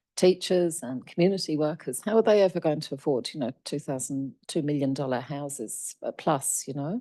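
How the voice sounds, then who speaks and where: A woman with a very deep, low pitch and a dark, mellow tone speaks at a moderate pace with lively intonation and hardly any pauses, over a quiet background. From England. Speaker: union representative. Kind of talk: panel discussion. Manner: halting.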